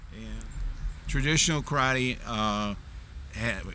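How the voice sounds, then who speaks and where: A man speaks with an American accent and a bright, sharp tone. His pace is fairly slow, with audible room echo. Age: 70s. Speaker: martial arts master. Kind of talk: interview. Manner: halting, many fillers.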